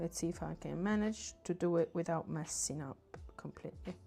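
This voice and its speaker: A woman with a fairly low pitch speaks at a moderate pace. Her tone is dark and mellow, with vocal fry. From southern Italy. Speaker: artist livestreamer. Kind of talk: casual livestream chat while painting.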